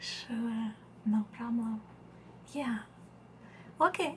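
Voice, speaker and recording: The speaker is soft-spoken, with a Russian accent. The pace is very slow. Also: woman. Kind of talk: ASMR roleplay.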